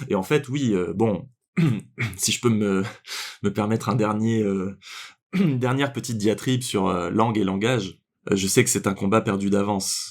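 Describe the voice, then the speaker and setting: Spoken at a moderate pace with ordinary pitch variation, on a very clean recording with a silent background. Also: man. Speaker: podcast co-host. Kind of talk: casual podcast discussion. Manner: hesitant, many fillers.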